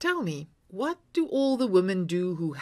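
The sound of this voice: The reading here is done in an unforced voice.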